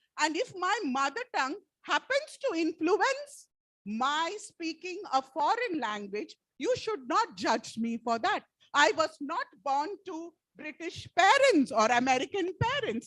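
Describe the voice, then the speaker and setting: A woman speaks at an extremely high pitch with very wide pitch swings. The sound is dry and close with no echo, and her pace is fairly slow. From Kerala, India. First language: Malayalam. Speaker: teacher. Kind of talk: lecture.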